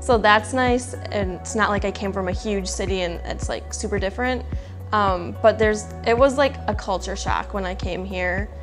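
Clear music plays in the background. A woman talks at a moderate pace in an Upper Midwest accent. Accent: Upper Midwest American. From Wisconsin. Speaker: athletic trainer. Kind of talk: interview answer. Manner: casual, hesitant with filler words. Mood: friendly, relaxed. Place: office. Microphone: lapel.

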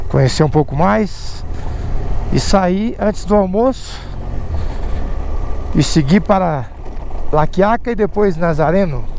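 Over light background noise, a woman speaks very slowly with lively intonation and long, frequent pauses in a dry sound with no echo. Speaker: moto traveler vlogger. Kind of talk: casual vlog chat. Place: motorbike. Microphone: helmet.

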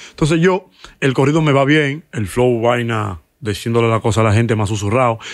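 Against a quiet background, a man with a Dominican accent talks at a fairly quick pace with ordinary pitch variation, in a dry sound with no echo. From Dominican Republic. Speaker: musician and comedian; comedian. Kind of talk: casual interview chat. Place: studio. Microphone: studio mic.

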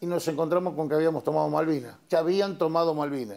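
A man with a fairly high pitch. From Argentina, Luján, Buenos Aires province. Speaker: war veteran. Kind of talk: testimony. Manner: hesitant, many fillers. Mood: calm, reflective storytelling. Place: studio. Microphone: lapel.

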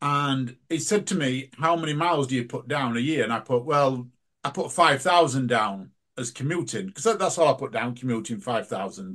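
A man with an English accent and a fairly high pitch, at a moderate pace with lively intonation. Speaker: podcast host. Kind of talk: casual chat. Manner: animated.

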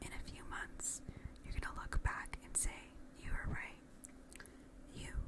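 A woman is whispering at a fairly slow pace. Her loudness swings a lot. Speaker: ASMR creator. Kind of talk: ASMR positive affirmations with personal attention, addressed to the listener. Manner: soft, reassuring, encouraging. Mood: warm, encouraging. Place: home room. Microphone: studio mic.

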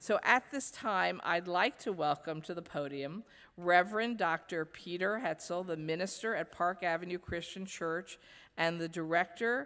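A woman with a plain, everyday voice speaks at a moderate pace and a fairly low pitch with ordinary pitch variation, against a quiet background. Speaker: event emcee. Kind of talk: ceremonial speech. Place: hall. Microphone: podium.

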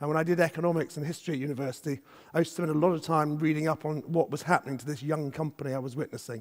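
Over a quiet background, a man talks at a very fast pace in a fairly high pitch with fairly even intonation. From Scotland. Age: 50s. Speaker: business executive; conference speaker. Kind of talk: conference keynote talk. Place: stage. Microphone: headset.

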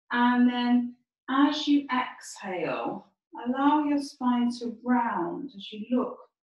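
A woman speaks very slowly at a high pitch. Audible room echo sits over a quiet background. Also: big swings in loudness. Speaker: yoga teacher. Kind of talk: guided chair yoga instruction. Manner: calm, gentle, slow and soothing cues; soft, unhurried, with frequent 'um' fillers. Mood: calm, soothing. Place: home room. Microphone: camera far.

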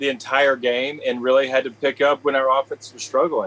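At a moderate pace, a man talks in a medium pitch. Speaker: former football quarterback, radio color analyst. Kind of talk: casual sports interview. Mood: upbeat and confident. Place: home room.

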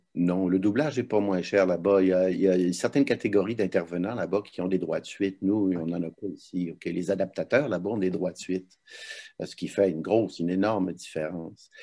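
With a quiet background behind him, a man talks fairly quickly in a very deep, low voice with a dark, mellow tone and fairly even intonation. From Quebec. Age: 70s. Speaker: voice actor and dubbing director; voice actor. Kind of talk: interview. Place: home room. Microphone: video call.

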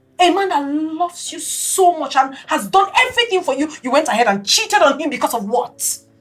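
Very wide pitch swings over light background noise. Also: woman. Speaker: actress in a drama. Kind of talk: scripted heated argument. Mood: angry, scolding. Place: kitchen.

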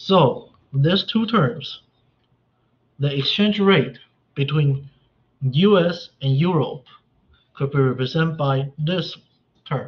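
A man speaks very slowly, with long, frequent pauses and a somewhat breathy voice. His pitch is fairly high, with ordinary variation. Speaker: economics instructor. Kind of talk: lecture. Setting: video call. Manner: halting, many fillers.

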